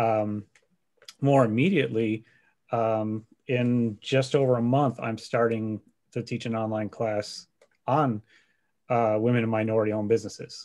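The speaker talks at a moderate pace with fairly even intonation, leaving long, frequent pauses. The background is quiet. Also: man, medium pitch for a man. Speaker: instructor. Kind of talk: panel discussion. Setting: video call.

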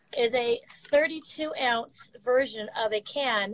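With light background noise and dry sound with no echo, a woman speaks at a high pitch with fairly even intonation. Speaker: remote guest. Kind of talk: interview answer, product explanation. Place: office. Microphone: video call.

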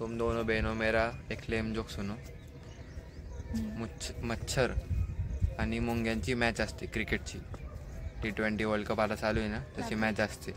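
A man talks in a monotone, flat intonation, with long, frequent pauses. Faint music sits in the background, and the sound is dry with no echo. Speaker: vlogger. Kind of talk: casual vlog chat. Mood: joking, playful. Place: open country. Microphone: phone near.

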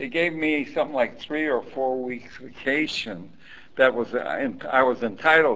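A man speaks with a Chicago accent at a fairly slow pace. His tone is bright and sharp. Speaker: Coast Guard veteran. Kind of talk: oral history interview. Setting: library.

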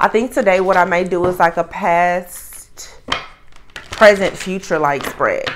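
A woman's fairly low voice, fairly even in intonation, over noticeable background noise. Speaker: tarot reader. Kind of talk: casual reading intro chat. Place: home room.

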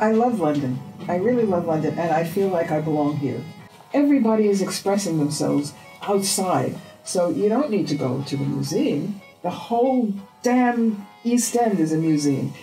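Over faint music in the background, a woman with a New York accent speaks at a moderate pace and a fairly low pitch, her pitch swinging very widely while her loudness stays very even. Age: 80s+. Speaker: artist; interviewee. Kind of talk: interview answer. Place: home room.

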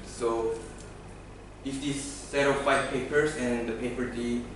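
Amid noticeable background noise and strong room echo, a man speaks in a flat monotone. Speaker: conference presenter. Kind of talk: lecture. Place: meeting room. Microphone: camera far.

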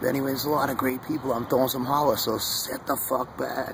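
A man talks at a fairly quick pace in a dry sound with no echo, with noticeable background noise behind him. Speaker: vlogger. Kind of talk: casual vlog chat. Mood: earnest, warm, preachy. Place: garden. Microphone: phone near.

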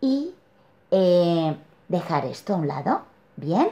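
Very slowly and somewhat breathily, a woman talks at a medium pitch with very wide pitch swings and a dark, mellow tone. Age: 40s. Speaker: client sharing personal story; interviewee. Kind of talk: testimony. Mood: reflective, warm. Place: home room. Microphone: webcam.

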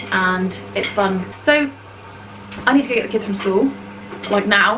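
A woman speaks with ordinary pitch variation. Noticeable background noise runs beneath her. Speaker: family vlogger. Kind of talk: casual vlog chat. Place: kitchen. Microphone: phone near.

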